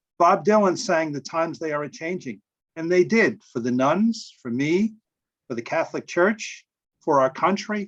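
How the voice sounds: Here a man speaks at a fairly slow pace. His intonation is lively.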